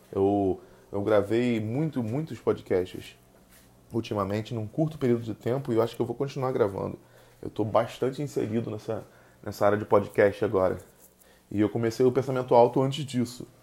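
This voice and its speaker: A man with a Rio de Janeiro accent speaks at a medium pitch in a dark, mellow tone, leaving long, frequent pauses. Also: ordinary pitch variation, moderate pace. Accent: carioca. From Rio de Janeiro, Brazil. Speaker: podcast host. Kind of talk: casual solo monologue. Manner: halting, many fillers.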